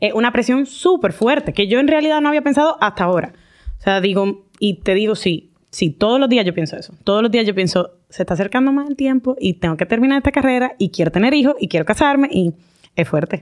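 Her voice fairly high, a woman talks at a very fast pace, her pitch swinging very widely. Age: 20s. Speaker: doctor. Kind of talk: casual chat.

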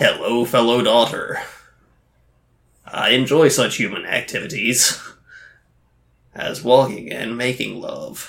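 Putting on a raspy character voice, a woman speaks very deep and low at a fairly slow pace with long, frequent pauses. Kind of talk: stilted, mechanical. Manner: deadpan.

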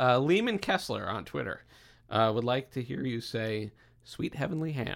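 A man talks at a moderate pace with lively intonation. He has an ordinary speaking voice. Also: medium pitch for a man, very clean recording, silent background. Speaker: podcast host. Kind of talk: casual chat.

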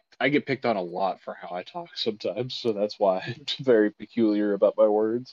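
In a normal speaking voice, a man at a medium pitch talks at a fairly quick pace with hardly any pauses, ordinary pitch variation and big swings in loudness. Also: dry, close sound with no echo. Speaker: podcast co-host. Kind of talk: casual banter.

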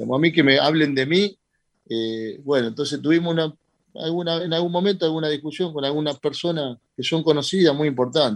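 A plain, everyday voice from a man, fairly high in pitch, with ordinary pitch variation and a fairly quick pace. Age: 40s. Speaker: boxing promoter. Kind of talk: radio interview. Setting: video call.

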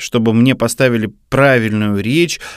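A man speaks at a fairly slow pace. He has a plain, everyday voice. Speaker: radio program director, co-host. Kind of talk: casual chat.

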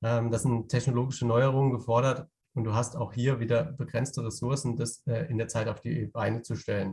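Music plays in the background as a man with a medium-pitched voice speaks at a moderate pace with fairly even intonation. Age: 30s. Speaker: innovation consultant. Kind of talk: interview. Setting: on the road, remote. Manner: halting, many fillers.

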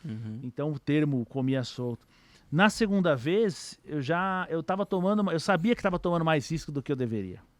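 Recorded very cleanly with a silent background and a dry, close sound with no echo, a man with an ordinary speaking voice and a fairly high pitch speaks with lively intonation. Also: moderate pace. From São Paulo, Brazil (east zone). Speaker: trader. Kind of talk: casual interview chat.

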